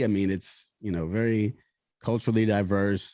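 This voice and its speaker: A man with an American accent, fairly low in pitch, with a dark, mellow tone at a moderate pace. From New Orleans, US South. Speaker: rapper and social media creator. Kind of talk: casual interview chat. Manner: halting, many repeated words.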